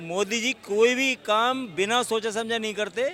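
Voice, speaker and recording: A man speaks in a raised, projected voice with a high pitch. Noticeable background noise runs behind him. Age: 60s. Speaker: lawyer, interviewee in street poll. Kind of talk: street interview.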